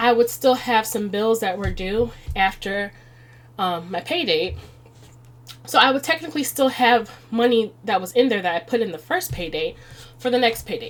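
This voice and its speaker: At a moderate pace with long, frequent pauses, a woman with an American accent talks at a fairly high pitch. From Chicago, US Midwest. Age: 30s. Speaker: budgeting video creator. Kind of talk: budgeting tutorial. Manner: casual, conversational.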